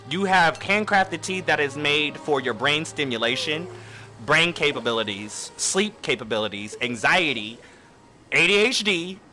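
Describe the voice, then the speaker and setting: With music in the background, a man speaks at a moderate pace in a fairly high voice with very wide pitch swings. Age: 20s. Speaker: streamer. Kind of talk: casual chat. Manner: halting.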